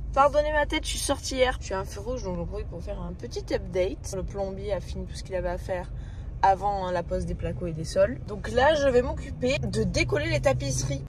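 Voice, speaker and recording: Room echo is audible, along with noticeable background noise. Through it, a woman talks at a moderate pace. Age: 20s. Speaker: vlogger. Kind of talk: casual vlog. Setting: in a car. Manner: casual, hesitant with fillers.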